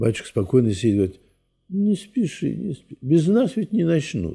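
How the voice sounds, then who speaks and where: A somewhat breathy, dark, mellow voice at a moderate pace, with very wide pitch swings, long, frequent pauses and a quiet background. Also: man. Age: 80s+. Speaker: Orthodox priest. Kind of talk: interview.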